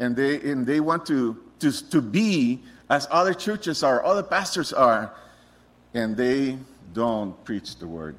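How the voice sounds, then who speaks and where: At a fairly slow pace, a man with a Spanish accent speaks at a fairly high pitch with very wide pitch swings. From Costa Rica. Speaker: missionary preacher. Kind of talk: sermon. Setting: church.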